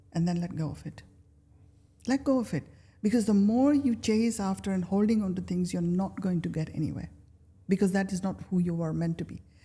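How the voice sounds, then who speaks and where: A woman of medium pitch speaks at a fairly quick pace in a dark, mellow, somewhat breathy tone. Her pitch varies in an ordinary way, broken by long, frequent pauses. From Kenya. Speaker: life coach. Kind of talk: interview answer.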